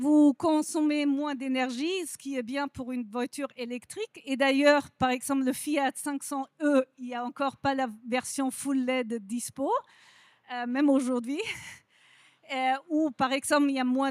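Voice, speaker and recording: High female voice with fairly even intonation and a dry, close sound with no echo. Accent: non-native. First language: not French (speaking French). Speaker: industry representative, lighting company. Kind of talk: conference presentation.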